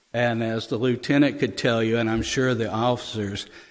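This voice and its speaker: A man speaks with an American accent at a medium pitch, his intonation flat and monotone. There is audible echo from the room. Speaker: police officer reporting to city council. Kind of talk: meeting report. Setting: city council meeting. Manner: halting, stammering.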